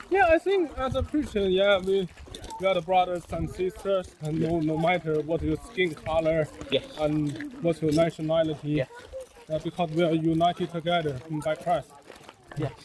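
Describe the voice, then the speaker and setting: Over noticeable background noise, a man with a Chinese accent speaks at a moderate pace and a high pitch, his pitch varying in an ordinary way. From China. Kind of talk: casual interview.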